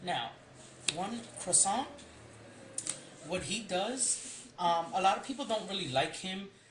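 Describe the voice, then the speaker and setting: Long, frequent pauses break up very slow speech as noticeable background noise continues. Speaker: card game deck reviewer. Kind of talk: tutorial. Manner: hesitant, many ums.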